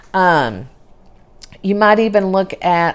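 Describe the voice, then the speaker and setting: A woman speaks in a Texas accent at medium pitch. Her pace is fairly slow. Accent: southern US (Texas). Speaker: podcast host, real estate virtual assistant. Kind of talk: solo podcast monologue, advice talk. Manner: casual, with frequent fillers.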